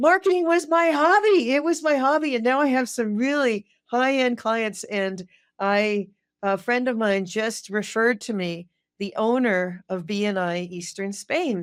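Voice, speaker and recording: A woman at a fairly high pitch and fairly slow pace, with very wide pitch swings, in a very clean recording against a silent background. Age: 60s. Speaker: violinist and marketing consultant. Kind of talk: interview conversation. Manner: animated.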